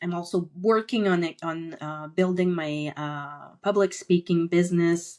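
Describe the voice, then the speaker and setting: Her pitch is fairly low for a woman, with ordinary variation. She speaks at a fairly slow pace. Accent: French Canadian. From Quebec, French Canada. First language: French. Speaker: entrepreneur and author. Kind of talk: podcast interview. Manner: halting, many fillers.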